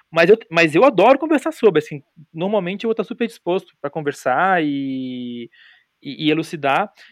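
A man's high-pitched voice at a moderate pace, with very wide pitch swings, in a dry, close sound with no echo. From Brazil, Florianópolis. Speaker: podcaster. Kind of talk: casual chat. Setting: remote recording.

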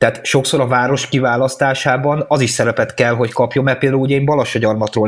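This man talks at a very fast pace. His pitch is medium and his intonation fairly even. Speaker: podcast co-host. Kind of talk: casual interview chat.

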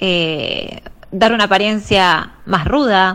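Ordinary pitch variation colors a woman's medium-pitched speech. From Argentina, La Plata. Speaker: professional body piercer. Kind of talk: interview testimony. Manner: halting.

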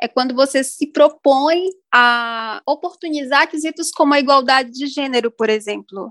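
A high-pitched woman's voice with ordinary pitch variation and hardly any pauses, dry and close with no echo. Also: moderate pace. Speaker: chemical engineer. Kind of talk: podcast interview. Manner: formal.

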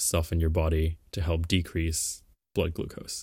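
Speaking at a moderate pace, a man has a very deep, low, somewhat breathy voice. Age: young. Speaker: podcast co-host. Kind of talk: explainer on biology. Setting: remote call.

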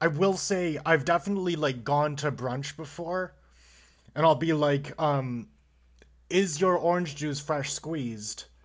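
On a very clean recording with a silent background, a man with an American accent and a fairly high pitch speaks at a fairly slow pace with ordinary pitch variation. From Buffalo, New York. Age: 20s. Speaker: engineer. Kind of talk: casual chat.

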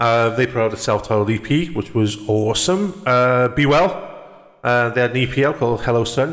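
With a Welsh accent, this speaker talks at a moderate pace with lively intonation and very even loudness. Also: man, medium pitch for a man. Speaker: podcast host. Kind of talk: casual chat.

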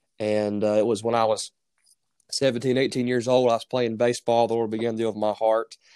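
In a very clean recording with a silent background, a man speaks with a Southern US accent. His pace is fairly quick and his intonation fairly even. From North Carolina. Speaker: preacher. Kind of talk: casual interview.

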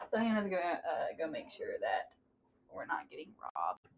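A woman with a Southern US accent speaks at a moderate pace in a high pitch. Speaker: podcast co-host. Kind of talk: casual chat.

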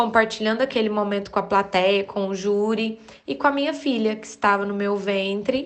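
A woman speaks at a fairly high pitch with ordinary pitch variation. It is an ordinary speaking voice. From Uberaba, Minas Gerais, Brazil. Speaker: dance teacher. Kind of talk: recorded personal testimony.

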